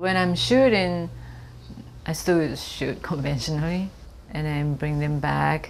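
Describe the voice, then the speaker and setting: Very slow speech from a woman with a Japanese accent, full of long, frequent pauses, over light background noise. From Japan (Kobe). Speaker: photographer. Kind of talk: artist interview monologue. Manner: hesitant, many fillers. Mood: calm, thoughtful. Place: office.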